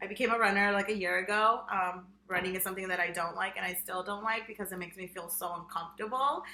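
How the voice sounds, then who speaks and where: A woman speaks with a Spanish accent in a bright, sharp tone. Her intonation is fairly even. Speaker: podcast co-host, high school Spanish teacher. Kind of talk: casual chat. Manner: frequent fillers (um, like).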